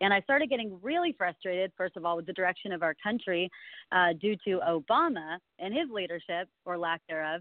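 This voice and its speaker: A woman speaks in an American accent at a fairly quick pace, her pitch medium. She has an unremarkable speaking voice. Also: ordinary pitch variation. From California. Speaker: congressional candidate. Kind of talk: phone interview. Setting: phone call.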